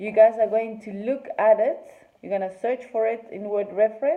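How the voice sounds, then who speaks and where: A woman with a Spanish accent speaks in a fairly high voice with ordinary pitch variation. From Argentina. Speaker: English teacher. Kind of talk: classroom lesson.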